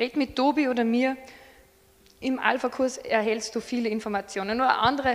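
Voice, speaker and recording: A woman talks at a moderate pace in a high voice, keeping her intonation fairly even. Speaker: preacher. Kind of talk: sermon. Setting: church service with slides.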